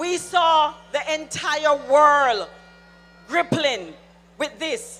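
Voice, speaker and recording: The speaker has an animated tone, with music playing in the background. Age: 60s. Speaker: political speaker. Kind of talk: political rally speech.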